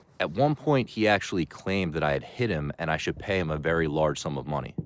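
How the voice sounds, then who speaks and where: A man's very fast delivery with vocal fry and lively intonation. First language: not Chinese; learned Mandarin. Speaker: travel vlogger. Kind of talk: vlog narration.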